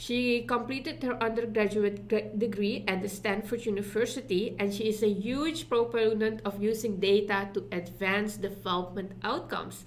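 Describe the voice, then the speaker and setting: A woman with a Dutch accent talks at a moderate pace with hardly any pauses, a medium pitch and fairly even intonation, against noticeable background noise. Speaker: summit co-host. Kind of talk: speaker introduction.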